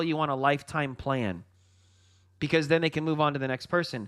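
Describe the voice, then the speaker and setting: An animated tone at a fairly quick pace, with ordinary pitch variation, in a very clean recording with a silent background. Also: man. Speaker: trading coach. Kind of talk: livestream trading commentary. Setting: livestream. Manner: fast.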